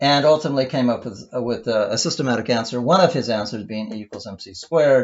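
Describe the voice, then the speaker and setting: A man speaks with lively intonation. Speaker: teacher. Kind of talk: lecture. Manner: halting, many false starts; fast.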